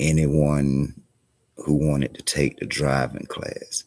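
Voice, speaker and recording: This man speaks at a very deep, low pitch in a monotone, flat intonation. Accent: South Carolina. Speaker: community organizer streamer. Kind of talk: live stream talk. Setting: library. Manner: halting.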